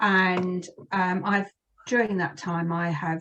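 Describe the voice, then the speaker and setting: In a British accent, a woman with a medium pitch speaks at a fairly slow pace with fairly even intonation. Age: 60s. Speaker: career and lifestyle coach. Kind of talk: interview. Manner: hesitant, many fillers.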